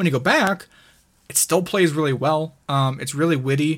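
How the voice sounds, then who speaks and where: A man talks at a moderate pace with fairly even intonation and a normal speaking voice. The recording is very clean, with a silent background. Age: 20s. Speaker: gaming YouTuber. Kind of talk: casual chat.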